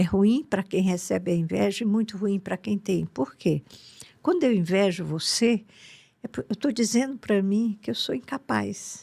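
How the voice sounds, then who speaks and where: A woman speaks at a fairly slow pace in a somewhat breathy, medium-pitched voice with a dark, mellow tone and lively intonation. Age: 80s+. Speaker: spiritual teacher. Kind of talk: podcast interview.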